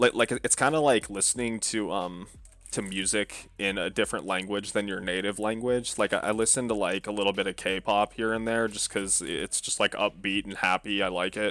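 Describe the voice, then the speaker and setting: Over background music, a man with a fairly low pitch speaks at a moderate pace with fairly even intonation and hardly any pauses, the sound dry and close with no echo. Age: 20s. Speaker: game streamer. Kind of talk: casual chat. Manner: casual, filler-heavy.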